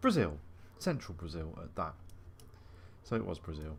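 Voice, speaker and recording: A man speaks with an English accent in a somewhat breathy voice. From England. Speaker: gaming video host. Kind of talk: let's play commentary. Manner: casual, thinking aloud.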